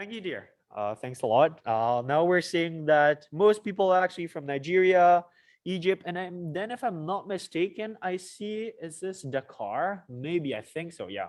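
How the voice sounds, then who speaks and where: A man's high voice with lively intonation and big swings in loudness, over a quiet background. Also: moderate pace. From Mauritius. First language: French. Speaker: student association officer. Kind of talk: live event hosting on video call. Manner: animated.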